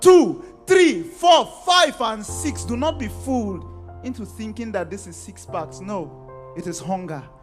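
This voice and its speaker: Music plays in the background as a man talks at a fairly slow pace. His loudness swings widely. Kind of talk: spoken word poetry performance. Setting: live event before a youth audience.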